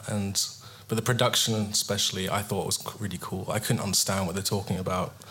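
At a fairly quick pace, a man with an English accent speaks amid audible room echo. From England. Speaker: guitarist. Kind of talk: casual chat. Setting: stage with audience.

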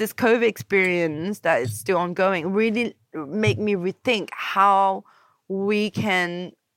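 On a very clean recording with a silent background, the speech proceeds at a very slow pace with ordinary pitch variation. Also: woman. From Paris and Copenhagen. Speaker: musician and DJ. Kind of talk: casual chat.

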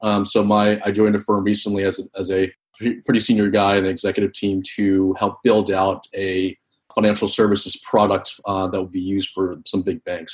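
Here is a man with an unremarkable speaking voice and an American accent. His pitch is fairly low. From US East Coast. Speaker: tech and finance professional. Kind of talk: casual interview.

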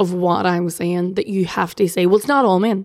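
A woman's animated, medium-pitched voice in an Irish accent. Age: 30s. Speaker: political journalist. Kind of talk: casual chat.

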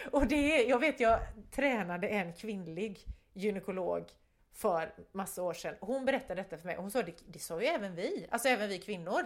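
Recorded very cleanly against a silent background, a woman uses a plain, everyday voice at medium pitch and a moderate pace, with lively intonation and big swings in loudness. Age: 50s. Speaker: podcast co-host, photographer. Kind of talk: casual chat.

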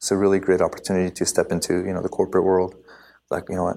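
A man speaks at a fairly low pitch with a dark, mellow tone, recorded very cleanly against a silent background. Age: 20s. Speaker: professional drift race car driver. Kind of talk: casual interview.

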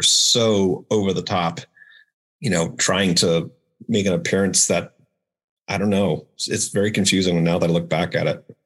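This man has a very deep, low voice and an American accent, with fairly even intonation. The recording is very clean, with a silent background. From US Northeast (Maine). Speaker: army veteran, nonprofit director. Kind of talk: casual interview. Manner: halting, repeats words.

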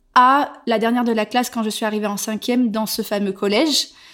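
Pitched fairly high, a woman with a plain, everyday voice is heard in a very clean recording with a silent background. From southwestern France, Bordeaux. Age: 30s. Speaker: content creator. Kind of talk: casual chat. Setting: face to face at home.

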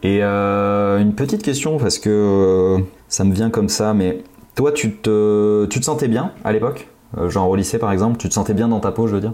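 Delivered at a moderate pace with very even loudness, a man's fairly low voice is an unremarkable speaking voice with ordinary pitch variation. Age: 30s. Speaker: podcast co-host. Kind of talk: casual chat.

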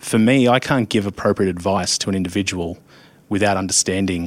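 A man with an Australian accent talks very fast at a fairly low pitch. His intonation stays fairly even. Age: 30s. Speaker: insurance risk adviser. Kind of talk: casual interview.

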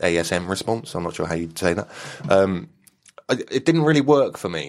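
Pitch swings very widely in the voice of a man with a British accent. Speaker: podcast host. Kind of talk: casual chat. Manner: chatty, laughs often.

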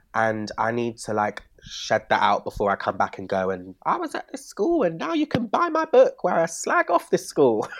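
With a Bristol accent, a man talks at a moderate pace with hardly any pauses, the sound dry and close with no echo. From Bristol, England. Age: 20s. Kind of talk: casual chat. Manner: animated.

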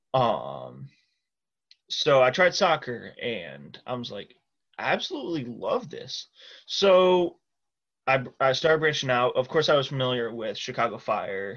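A man with a Midwestern US accent speaks against a quiet background. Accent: US Midwest. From Iowa, Cedar Rapids. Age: 20s. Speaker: football supporter. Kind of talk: casual chat.

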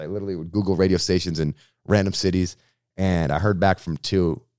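A man with an American accent talks in a very deep, low pitch. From Massachusetts, Boston area (Framingham). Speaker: radio host and comedian. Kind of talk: casual interview. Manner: animated.

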